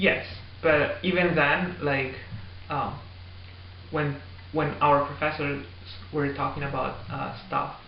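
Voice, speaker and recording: A man with a fairly high voice speaks very slowly, with long, frequent pauses and lively intonation. The room echoes audibly, and background noise is noticeable. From Italy. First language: Italian. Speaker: graduate student. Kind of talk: interview. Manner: loud; halting.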